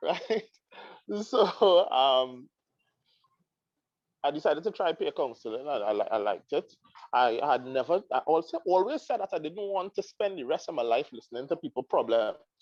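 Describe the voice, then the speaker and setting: A man with a Trinidadian accent speaks at a moderate pace, fairly high in pitch, with very wide pitch swings. He leaves long, frequent pauses, and the sound is dry and close with no echo. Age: 30s. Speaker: counseling psychologist. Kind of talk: interview. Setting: live stream. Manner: halting.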